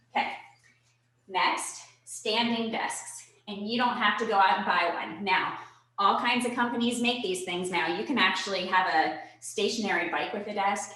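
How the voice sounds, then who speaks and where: With audible room echo, a woman speaks in an energetic tone at a medium pitch. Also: ordinary pitch variation, moderate pace. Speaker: personal trainer. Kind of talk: virtual fitness workshop. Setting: video call. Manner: energetic, instructive.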